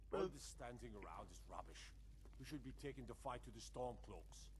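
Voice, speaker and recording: A man's gruff, put-on character voice at a moderate pace, against loud background noise. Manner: impatient, blunt.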